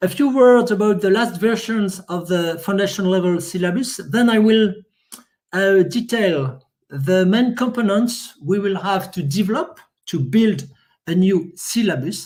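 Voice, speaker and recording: A man with a French accent, high in pitch, at a fairly slow pace with ordinary pitch variation. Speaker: software testing expert. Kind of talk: conference presentation. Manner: halting.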